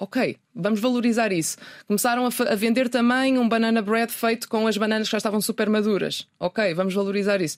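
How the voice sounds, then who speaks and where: A woman's fairly high-pitched, a normal speaking voice, at a fairly quick pace with hardly any pauses, very even loudness and fairly even intonation, on a very clean recording with a silent background. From northern Portugal (Minho, Ponte da Barca). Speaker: journalist and sustainability website founder. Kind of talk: interview. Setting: radio studio.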